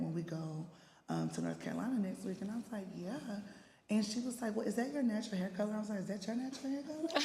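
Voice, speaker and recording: A very fast pace in an American accent, with noticeable background noise and audible room echo. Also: woman. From East Texas. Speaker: panelist. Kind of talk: panel discussion.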